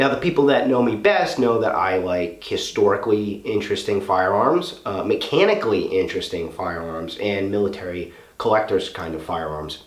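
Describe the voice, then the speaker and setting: With noticeable background noise and audible room echo, a man talks with hardly any pauses. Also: moderate pace. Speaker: gun reviewer. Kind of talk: product review video. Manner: casual.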